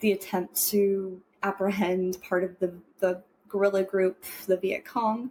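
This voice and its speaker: Very slowly, a woman speaks at a medium pitch. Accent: American. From Woodland, California. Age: 30s. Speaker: returned Peace Corps volunteer. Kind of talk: interview answer. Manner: casual, conversational.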